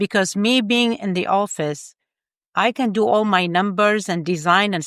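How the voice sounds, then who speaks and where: A woman's medium-pitched voice with a non-native accent, ordinary pitch variation and a moderate pace, in a dry, close sound with no echo. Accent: foreign. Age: 50s. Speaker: engineer and life coach. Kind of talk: interview conversation. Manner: animated.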